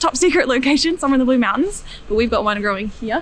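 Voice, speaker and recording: A woman talks at a very fast pace with a high pitch and lively intonation. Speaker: university student. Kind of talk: guided tour. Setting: research building. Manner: whispering.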